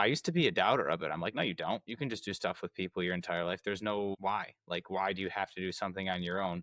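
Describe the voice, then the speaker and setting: A man with an American accent and a very deep, low pitch races along at a very fast pace with hardly any pauses and ordinary pitch variation, the sound dry and close with no echo over a quiet background. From United States. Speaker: podcast host. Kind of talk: interview conversation.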